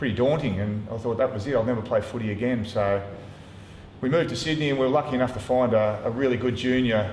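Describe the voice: A man talks at a fast pace with a slightly mellow tone and ordinary pitch variation, and room echo is audible. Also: medium pitch for a man.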